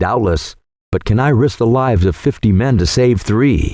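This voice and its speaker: A man's growling, put-on character voice at medium pitch, moderate pace and ordinary pitch variation, on a very clean recording with a silent background. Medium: read story.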